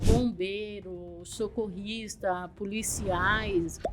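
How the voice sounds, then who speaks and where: A woman's voice with music in the background. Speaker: missionary and author. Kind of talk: interview.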